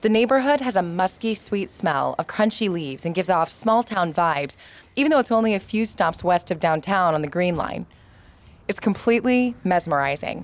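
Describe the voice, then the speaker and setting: Speaking with an American accent, a woman has an unremarkable speaking voice at a medium pitch. She talks at a moderate pace with lively intonation. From Metro Detroit, US Midwest. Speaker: podcast host, former interior designer. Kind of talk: scripted narration.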